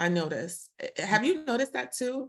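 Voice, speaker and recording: A woman speaks with a Brooklyn accent. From Brooklyn, New York. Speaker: podcast host. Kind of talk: casual interview conversation.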